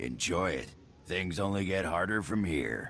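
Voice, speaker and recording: A man does a put-on character voice, very deep and low in pitch, raspy and amused in tone, with lively intonation at a moderate pace and audible echo. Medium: video game. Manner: gruff, amused.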